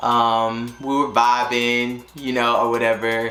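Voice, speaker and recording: Music plays in the background as a man with a Southern accent talks at medium pitch, his voice carrying audible room echo. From North Carolina, US South. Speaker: YouTuber and teacher. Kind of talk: casual storytime vlog. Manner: casual, filler-heavy.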